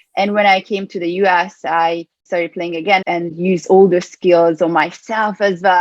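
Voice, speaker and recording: A woman with a Hungarian accent speaks at medium pitch and a moderate pace with fairly even intonation, in a dry, close sound with no echo. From Hungary, Budapest. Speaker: performance coach. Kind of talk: interview.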